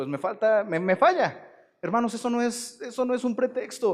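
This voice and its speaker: The voice moves at a moderate pace while its pitch swings very widely. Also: man. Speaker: pastor. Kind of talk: sermon.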